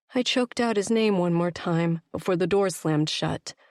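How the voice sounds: The voice reads naturally. Pitch moves up and down an ordinary amount.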